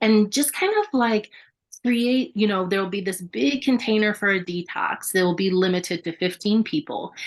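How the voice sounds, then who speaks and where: At a moderate pace and medium pitch, a woman talks with ordinary pitch variation in a plain, everyday voice. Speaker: yoga studio owner and Reiki master. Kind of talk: radio interview. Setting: radio studio.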